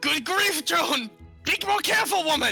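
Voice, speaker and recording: A put-on character voice, pitched high, speaks at a moderate pace as faint music plays in the background. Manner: furious, screaming.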